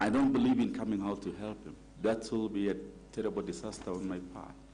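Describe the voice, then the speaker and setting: A man talks very fast with an African accent. Audible room echo surrounds his voice. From Kenya. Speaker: nominee for county office, lawyer. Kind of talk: vetting interview. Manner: formal.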